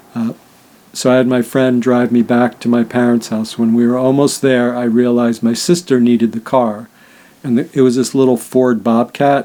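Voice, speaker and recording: The speaker has a New York accent and a dark, mellow tone. The intonation is flat and monotone. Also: man, medium pitch for a man, moderate pace. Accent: New York area American. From US Northeast, Rye Brook, New York. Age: 60s. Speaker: near-death experiencer and spiritual healer. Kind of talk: personal testimony. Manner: casual, with many fillers.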